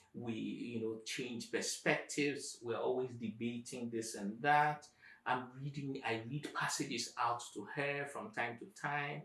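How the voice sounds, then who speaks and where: With an African accent, a man talks at a fairly slow pace and medium pitch, his tone bright and sharp and his intonation fairly even. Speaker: professor, YouTube channel host. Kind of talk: conversational interview answers.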